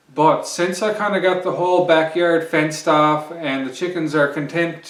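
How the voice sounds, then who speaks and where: Noticeable background noise and audible room echo surround this recording of a man. He speaks at a fairly slow pace. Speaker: homesteading vlogger. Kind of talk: casual vlog talk to camera. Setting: outdoors. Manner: hesitant, many fillers.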